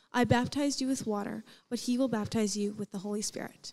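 The intonation stays fairly even as a woman talks. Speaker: student scripture reader. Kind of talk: scripture reading. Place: stage. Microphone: handheld.

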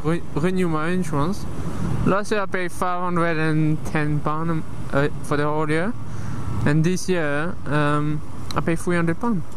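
At a fairly slow pace, the speaker is heard over noticeable background noise in a dry sound with no echo. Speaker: motorcycle vlogger. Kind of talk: casual vlog chat. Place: motorbike. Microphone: helmet.

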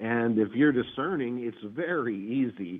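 Talking at a fairly slow pace, a man uses lively intonation. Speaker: entrepreneur and cosmic lore enthusiast. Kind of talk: casual interview. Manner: unscripted, off the cuff; halting with many fillers.

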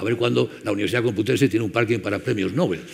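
Very fast speech from a man, with light background noise. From Spain. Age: 70s. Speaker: conference chairman; speaker. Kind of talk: closing speech. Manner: halting. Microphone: headset.

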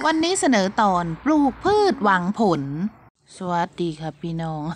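Speaking at a medium pitch, a woman lets her voice swing very widely up and down. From Buriram, northeastern Thailand. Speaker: vlogger, pomelo farmer and mother. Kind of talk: casual vlog talk.

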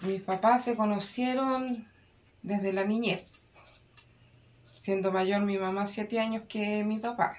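Very slow speech with long, frequent pauses and fairly even intonation, over noticeable background noise. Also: woman, medium pitch for a woman. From Chile, O'Higgins region (rural town). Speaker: parent of the filmmaker. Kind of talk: interview.

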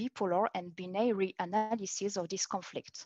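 A woman speaks with a French accent. Her pitch is medium, with ordinary pitch variation. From France. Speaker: PhD researcher in art history. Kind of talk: academic conference talk. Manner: halting.

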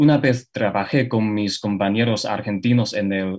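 Against a quiet background, a man with a Chinese accent speaks with fairly even intonation. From China. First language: Chinese (speaking Spanish). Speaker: university student; guest. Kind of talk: panel discussion. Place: home room. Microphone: video call.

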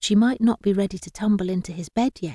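What you hear is a natural reading voice.

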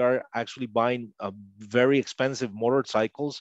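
With a Spanish accent, a man talks at a moderate pace with fairly even intonation, and the sound is dry with no echo. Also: quiet background. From Costa Rica. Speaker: linguist; interview guest. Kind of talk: interview. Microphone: headset.

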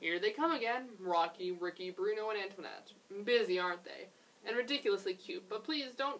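Just a natural reading voice.

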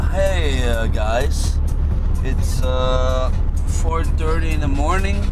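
The speech moves at a very slow pace. Loud music plays in the background. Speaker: dj on tour. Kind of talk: casual vlog chat. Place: car. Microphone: camera far.

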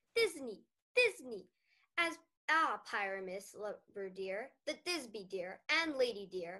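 At a fairly slow pace with long, frequent pauses, a woman uses a squeaky put-on character voice of medium pitch with very wide pitch swings. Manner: exaggerated, theatrical.

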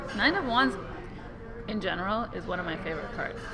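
Ordinary pitch variation over clear music in the background. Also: woman. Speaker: tarot deck reviewer. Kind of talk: casual vlog chat. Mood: relaxed, admiring. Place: cafe. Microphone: studio mic.

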